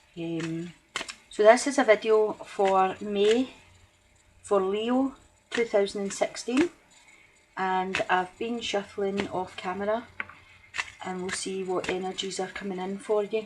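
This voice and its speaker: Through noticeable background noise, a woman at medium pitch speaks fairly slowly with long, frequent pauses, big swings in loudness and ordinary pitch variation. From Scotland. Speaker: tarot reader. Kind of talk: tarot reading to camera. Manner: deliberately slowed speech; hesitant, many ums.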